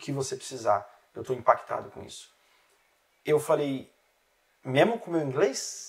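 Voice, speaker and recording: The speaker's somewhat breathy voice moves at a fairly slow pace with long, frequent pauses. Intonation is lively, and loudness swings widely. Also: man, fairly high pitch for a man. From Brazil, interior of São Paulo state. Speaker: relationship specialist, author and missionary. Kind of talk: podcast interview. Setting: studio.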